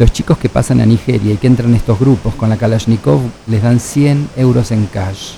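There is noticeable background noise as a man talks at a fairly quick pace. His pitch is medium, with ordinary pitch variation. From Argentina. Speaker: biologist and humanitarian researcher. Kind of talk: radio interview.

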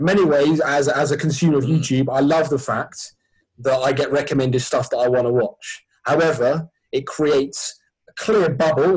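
A fairly high-pitched man's somewhat breathy voice with a southern English accent and fairly even intonation. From Sussex, southern England. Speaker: sports ministry charity worker. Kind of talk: casual chat.

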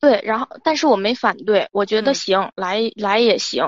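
Speaking fairly quickly, a woman keeps her pitch fairly high. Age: 20s. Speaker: caller. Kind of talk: advice call-in, personal story. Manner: halting, repetitive.

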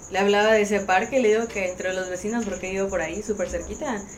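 A woman talks very fast at a medium pitch, with noticeable background noise and audible room echo. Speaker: social media influencer. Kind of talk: casual chat.

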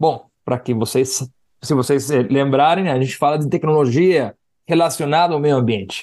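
Using a Spanish accent, a man talks at a moderate pace with fairly high pitch and ordinary pitch variation. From Guatemala. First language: Spanish (speaking Portuguese). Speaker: podcast host. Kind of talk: interview.

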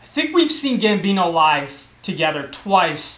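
A man's voice amid noticeable background noise. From Baltimore, US. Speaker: podcast host. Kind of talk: casual chat. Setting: video call. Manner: loud.

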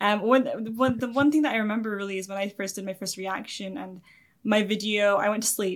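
A woman speaks with a Scottish accent. Her pace is very fast. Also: very clean recording, silent background. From Scotland. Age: 20s. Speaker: YouTube anime reactor. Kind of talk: interview.

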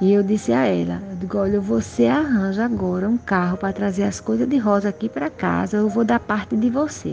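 With music playing in the background, a woman speaks at a fairly quick pace. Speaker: family member sharing memories. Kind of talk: personal storytelling interview.

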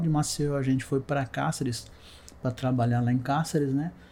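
Delivered in a dark, mellow tone, a man's medium-pitched speech moves at a moderate pace with monotone, flat intonation. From interior of São Paulo state, Brazil (Ourinhos). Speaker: civil engineer, illness survivor. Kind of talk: testimony.

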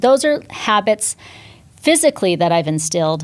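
A woman uses lively intonation and vocal fry, speaking at a moderate pace with a fairly low pitch. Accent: American. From Northern California, US. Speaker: fitness instructor and entrepreneur. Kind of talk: podcast interview.

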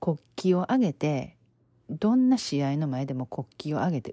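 Speaking at a moderate pace, a woman with a very deep, low pitch and a dark, mellow tone makes very wide pitch swings, the sound dry and close with no echo. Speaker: podcast host, life coach. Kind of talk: casual storytelling monologue.

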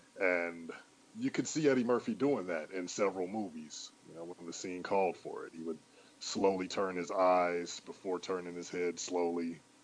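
With an American accent, a man speaks at a moderate pace in a very deep, low pitch, showing ordinary pitch variation and big swings in loudness. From Cleveland, Ohio, US. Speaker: podcast guest, hip hop fan. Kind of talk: casual chat.

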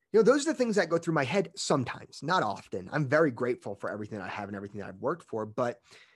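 Talking at a very fast pace, a man uses very wide pitch swings, an animated tone and vocal fry against a quiet background. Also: big swings in loudness. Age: 20s. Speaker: podcast host, fitness coach. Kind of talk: solo motivational monologue. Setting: at work.

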